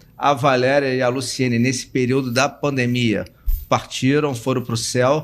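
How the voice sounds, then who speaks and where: At a fairly slow pace, a man speaks at medium pitch in a flat monotone with very even loudness. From Rio de Janeiro, Brazil. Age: 60s. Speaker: university administrator and educator. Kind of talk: interview self-introduction.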